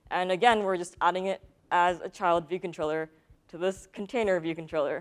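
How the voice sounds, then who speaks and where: The background stays quiet. Against it, a woman talks at a fairly quick pace. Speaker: conference speaker. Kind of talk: technical talk. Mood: light, good-humored. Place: stage. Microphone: lapel.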